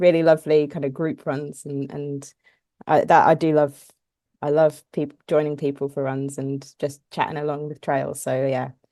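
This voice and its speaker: With an English accent, a woman speaks at a moderate pace in a very deep, low pitch and a dark, mellow tone. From southern England (Portsmouth). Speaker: ultra runner. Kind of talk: casual interview chat. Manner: hesitant, with fillers.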